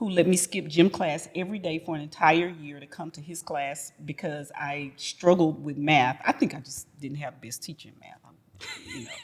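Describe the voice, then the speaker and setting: Music plays in the background as a woman with an American accent speaks at a moderate pace with a very deep, low pitch. Her pitch variation is ordinary, and her loudness swings widely. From Houston, Texas. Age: 50s. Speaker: retired educator and arts center founder. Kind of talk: interview. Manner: hesitant fillers, many ums.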